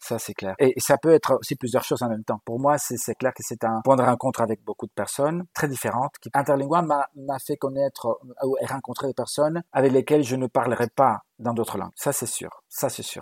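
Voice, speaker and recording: In a non-native accent, a man of medium pitch speaks with fairly even intonation and big swings in loudness, the sound dry and close with no echo. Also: moderate pace. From Galicia, Spain. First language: Galician and Spanish (speaking French). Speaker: university language professor. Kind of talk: interview.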